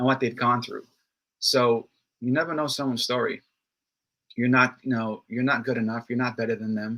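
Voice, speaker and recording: Fairly quick speech in a bright, sharp tone, with fairly even intonation, is broken up by long, frequent pauses. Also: man, medium pitch for a man. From New York City, Brooklyn. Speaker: network marketing entrepreneur and speaker. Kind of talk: interview.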